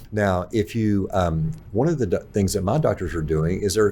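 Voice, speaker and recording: A man with a very deep, low pitch talks at a fairly quick pace, sounding somewhat breathy. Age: 60s. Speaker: pharmacist. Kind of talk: casual chat.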